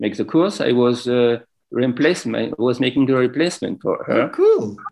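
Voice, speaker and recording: A man with a non-native accent speaks at a moderate pace and medium pitch. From France. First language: French. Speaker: yoga teacher and wellness business owner. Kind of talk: interview. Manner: halting.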